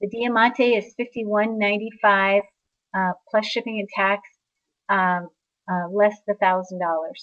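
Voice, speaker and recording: This woman has an ordinary speaking voice at a medium pitch. She talks at a fairly slow pace. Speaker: sales representative for steno products. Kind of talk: product presentation. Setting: online webinar.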